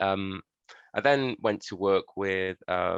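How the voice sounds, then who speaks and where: Against a quiet background, a man with a Yorkshire accent talks at a fairly low pitch. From northern England, Sheffield, Yorkshire. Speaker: social worker giving a talk. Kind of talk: presentation. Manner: hesitant, many fillers.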